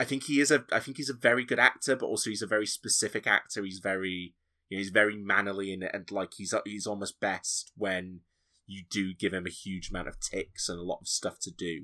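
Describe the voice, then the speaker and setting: A man speaks at a fairly quick pace with a fairly low pitch and ordinary pitch variation. His tone is bright and sharp, and the recording is very clean with a silent background. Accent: Yorkshire. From Yorkshire, northern England. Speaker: podcaster. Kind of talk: casual chat.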